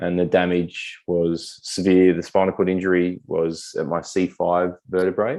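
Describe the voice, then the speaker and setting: A man with an Australian accent speaks in a very deep, low voice, his dark, mellow tone held to a flat monotone. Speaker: military veteran with spinal cord injury. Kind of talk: interview conversation.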